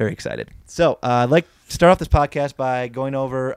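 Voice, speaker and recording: A man with a plain, everyday voice and an American accent speaks at a fairly quick pace with ordinary pitch variation, in a dry, close sound with no echo. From Wisconsin. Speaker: sports podcast host. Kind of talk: casual interview.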